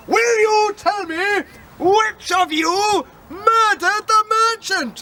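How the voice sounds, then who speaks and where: A man's put-on character voice, pitched extremely high and delivered at a very slow pace. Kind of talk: courtroom speech. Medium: stage play.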